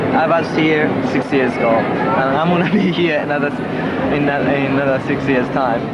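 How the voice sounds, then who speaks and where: A man speaks at a fairly slow pace. Loud background noise is present. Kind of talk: casual chat to camera. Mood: playful, laughing. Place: cafe. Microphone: old recording.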